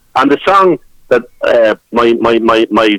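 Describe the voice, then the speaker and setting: Recorded dry and close with no echo, a man talks with a Dublin accent. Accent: Irish (Dublin). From Dublin, Ireland. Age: 60s. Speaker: traditional musician and songwriter. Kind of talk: radio interview. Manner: halting, many repetitions.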